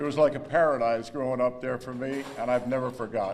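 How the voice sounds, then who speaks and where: A man speaks fairly quickly at medium pitch with fairly even intonation. Noticeable background noise and audible room echo fill the recording. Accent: American. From northern New Jersey, US. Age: 70s. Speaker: hall of fame inductee, former athlete. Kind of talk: acceptance speech. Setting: banquet hall with audience.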